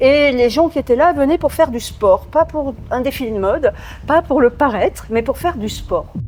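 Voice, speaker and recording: Background noise is noticeable. A woman speaks at a high pitch. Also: ordinary pitch variation, moderate pace. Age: 60s. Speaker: gym member. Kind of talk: interview. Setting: gym.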